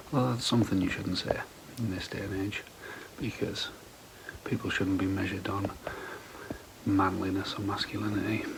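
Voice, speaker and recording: A man whispers with an English accent, pausing long and often. Noticeable background noise and audible room echo surround him. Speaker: camping vlogger. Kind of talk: casual vlog. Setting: at home; outdoors. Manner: whispering.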